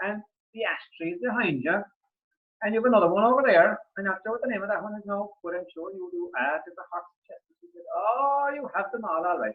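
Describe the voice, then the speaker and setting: A man with an Irish accent, high in pitch, fairly quick, with lively intonation and big swings in loudness. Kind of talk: storytelling, folk tale told to an audience. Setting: online video call. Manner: casual, chatty.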